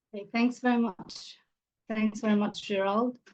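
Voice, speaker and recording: With an Arabic accent, a woman talks at a moderate pace in a fairly high, monotone, flat voice. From Gaza, Palestine. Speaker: English teacher. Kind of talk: panel talk. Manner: halting, with fillers.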